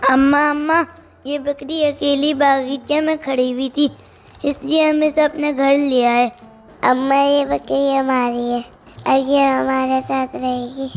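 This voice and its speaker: A female-sounding voice uses a put-on character voice. Her pitch sits high. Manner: excited, playful.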